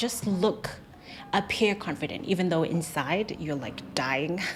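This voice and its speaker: At a fairly slow pace, a woman with an unremarkable speaking voice talks at a fairly low pitch with lively intonation. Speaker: YouTuber, former cabin crew. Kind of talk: Q&A advice vlog.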